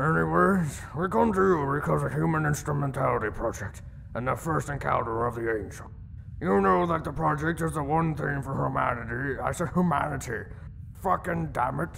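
A man with medium pitch at a fairly quick pace, over clear background noise. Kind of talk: comic parody dub. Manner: frustrated, increasingly shouting.

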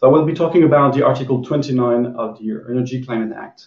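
Very fast, somewhat breathy speech from a man, fairly even in intonation, with audible room echo. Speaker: panelist. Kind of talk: webinar presentation. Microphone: video call.

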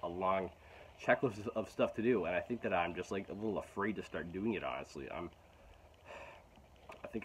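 Over light background noise, a man with a very deep, low pitch talks at a fairly quick pace with ordinary pitch variation. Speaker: vlogger. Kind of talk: casual vlog chat. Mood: frustrated, reflective. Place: garden. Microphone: phone near.

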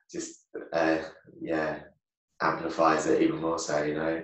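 A man speaks at a fairly slow pace. Audible room echo surrounds him against a quiet background. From England. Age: 30s. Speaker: taekwondo champion; podcast guest. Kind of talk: casual chat. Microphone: video call.

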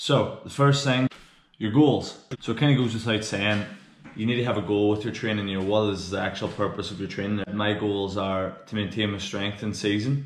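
A man speaks at a moderate pace with fairly even intonation and a fairly low pitch. Audible room echo surrounds his voice. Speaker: strength coach. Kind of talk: tutorial. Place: home room. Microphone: phone near.

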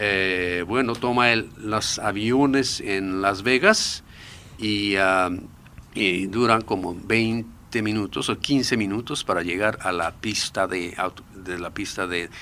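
A man with a Japanese accent speaks very slowly in a bright, sharp tone, his fairly low pitch moving with ordinary variation. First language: Japanese (speaking Spanish). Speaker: expert on secret military bases. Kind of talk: radio interview. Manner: halting, with many fillers.

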